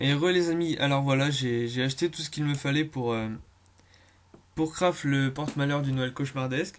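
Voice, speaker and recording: A fairly quick pace with fairly even intonation and a slight Breton accent. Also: man. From Brittany, France. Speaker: gaming YouTuber. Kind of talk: gameplay commentary. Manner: fast; hesitant, many fillers.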